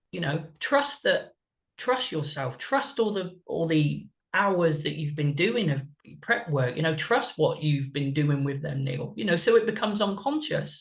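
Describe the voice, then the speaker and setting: The speaker's pitch swings very widely at a fairly slow pace, with a slight West Country accent. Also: man, fairly high pitch for a man. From West Country, England. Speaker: mindset and performance coach. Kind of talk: podcast interview. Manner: deliberately slow.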